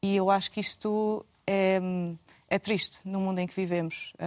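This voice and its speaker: Medium pitch from a woman, monotone and flat, at a moderate pace, the sound dry and close with no echo. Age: 30s. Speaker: international programs manager. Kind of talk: panel discussion. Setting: TV studio. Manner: halting.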